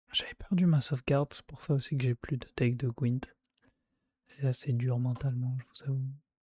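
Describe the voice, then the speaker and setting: A man's quiet, somewhat breathy whispering at a moderate pace, with long, frequent pauses. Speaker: gaming streamer. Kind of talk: casual gameplay commentary. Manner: whispering, hushed; casual, hesitant with fillers.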